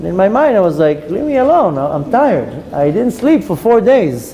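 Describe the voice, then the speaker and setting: Loud speech at a moderate pace with audible room echo. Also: man. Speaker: rabbi and Torah teacher. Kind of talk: lecture. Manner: loud even when whispering.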